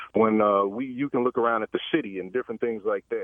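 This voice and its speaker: A man talks in a plain, everyday voice at medium pitch. His intonation stays fairly even. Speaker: caller. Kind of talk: phone call discussion. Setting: phone call.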